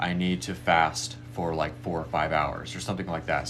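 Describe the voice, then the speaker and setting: Audible room echo surrounds a man speaking in a very deep, low pitch. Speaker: spiritual medium offering readings and meditations. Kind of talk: live stream talk leading a meditation. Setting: live stream. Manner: fast.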